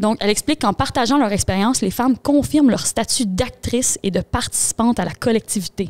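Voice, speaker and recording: A woman talks at a fairly quick pace with a Quebec accent. Her pitch is fairly high, and the sound is dry and close with no echo. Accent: Québécois French. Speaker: podcast co-host. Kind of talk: casual chat; book summary. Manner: fast.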